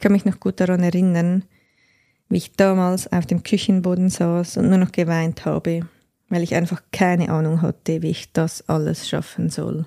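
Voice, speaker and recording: A woman's dark, mellow tone in a monotone, flat intonation. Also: moderate pace. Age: 30s. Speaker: podcast host and life coach. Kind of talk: personal monologue.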